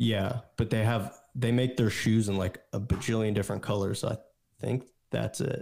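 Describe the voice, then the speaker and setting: On a very clean recording with a silent background, a man with a plain, everyday voice speaks at a moderate pace, his pitch fairly low and his intonation fairly even. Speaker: guest, friend of host. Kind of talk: casual chat.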